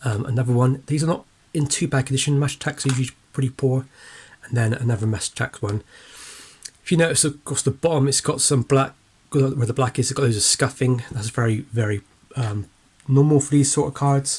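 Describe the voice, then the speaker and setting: Fairly quick and somewhat breathy, a man talks at medium pitch with fairly even intonation. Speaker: sports card collector. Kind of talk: casual talk to camera.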